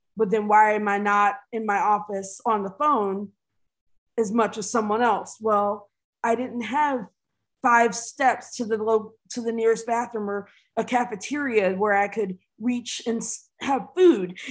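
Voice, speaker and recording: In an American accent, a woman with an ordinary speaking voice talks at a fairly slow pace with a fairly high pitch and fairly even intonation, on a very clean recording with a silent background. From US Midwest, Dayton area, Ohio (early years in Richmond, Virginia). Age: 40s. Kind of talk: interview conversation.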